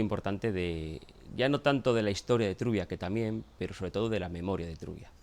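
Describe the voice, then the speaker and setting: Using a plain, everyday voice, a man speaks at a fairly low pitch with ordinary pitch variation. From Asturias, Spain. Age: 40s. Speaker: local historian and documentary scriptwriter. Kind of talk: documentary interview.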